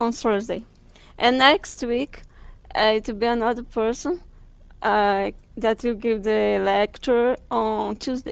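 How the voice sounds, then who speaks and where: Speaking at a very slow pace, a woman has a fairly high voice and a strong Brazilian accent. Her intonation is fairly even. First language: Portuguese. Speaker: guest lecturer. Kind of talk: lecture. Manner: halting.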